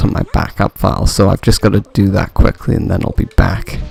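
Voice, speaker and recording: A man at a moderate pace, fairly low in pitch, dry and close with no echo, with noticeable background noise. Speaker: gaming video commentator. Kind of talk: let's play commentary. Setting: home recording at night. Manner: quiet, keeping voice down; hesitant, many fillers.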